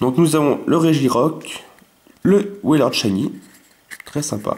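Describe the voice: Fairly high-pitched for a man, this speaker talks fairly slowly with lively intonation and a slightly mellow tone, and audible room echo surrounds him.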